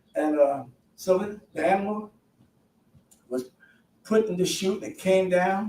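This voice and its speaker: This man's voice sits high in pitch. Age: 70s. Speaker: halal meat expert. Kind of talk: storytelling interview. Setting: studio. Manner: halting.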